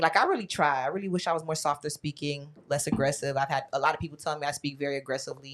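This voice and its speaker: Speaking at a very fast pace, a woman uses ordinary pitch variation on a very clean recording with a silent background. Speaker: podcast panelist. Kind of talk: casual chat. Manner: loud.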